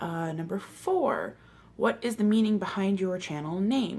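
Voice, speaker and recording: A somewhat breathy woman with an American accent, medium pitch and lively intonation, at a very slow pace. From Milwaukee, Wisconsin, US Midwest. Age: 20s. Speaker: booktuber. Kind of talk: casual vlog monologue. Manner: hesitant, many fillers.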